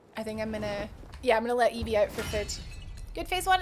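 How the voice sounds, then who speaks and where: A woman with a Scottish accent, fairly high in pitch and very fast in pace, over noticeable background noise. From Scotland, Edinburgh. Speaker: video game streamer. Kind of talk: live gameplay commentary.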